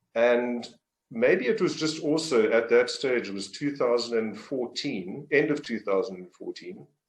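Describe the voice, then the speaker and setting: A man speaks with a South African accent at a moderate pace. His loudness swings widely. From South Africa, Port Elizabeth, Eastern Cape. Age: 60s. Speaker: business coach. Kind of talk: interview. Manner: halting, many fillers.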